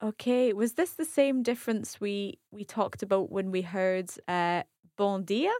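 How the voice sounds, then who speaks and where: A woman's unremarkable speaking voice at a fairly slow pace, dry and close with no echo. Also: medium pitch for a woman, ordinary pitch variation, very clean recording, silent background. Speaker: language learner. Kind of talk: language lesson.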